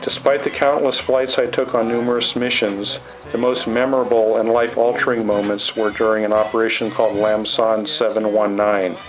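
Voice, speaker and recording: Over music in the background and with audible room echo, a man with an American accent talks at a fairly quick pace and medium pitch, with fairly even intonation, very even loudness and hardly any pauses. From California. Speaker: war veteran. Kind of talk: testimony. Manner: formal.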